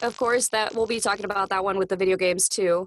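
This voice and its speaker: This woman's voice sits at a medium pitch. The sound is dry and close, with no echo. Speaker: anime voice actress. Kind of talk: casual chat. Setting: podcast interview.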